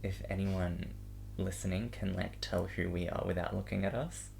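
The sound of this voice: A man speaks at a moderate pace in a low voice with vocal fry. His intonation stays fairly even.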